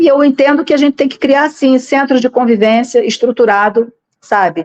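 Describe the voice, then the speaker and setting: The sound is dry and close with no echo as the voice moves at a moderate pace. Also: woman, high pitch for a woman, ordinary pitch variation. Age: 60s. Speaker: political candidate. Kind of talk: interview. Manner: halting, with frequent repetitions.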